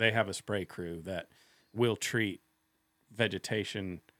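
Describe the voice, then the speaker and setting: A man with an American accent speaks at a very slow pace in a fairly low pitch, recorded very cleanly against a silent background with a dry, close sound and no echo. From Kansas. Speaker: fisheries biologist. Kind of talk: casual interview. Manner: halting.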